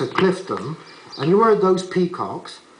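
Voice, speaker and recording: With a Bristolian accent, a man speaks at a moderate pace in a high pitch over noticeable background noise. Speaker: narrator. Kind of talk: folksy documentary narration in dialect. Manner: chatty, conversational.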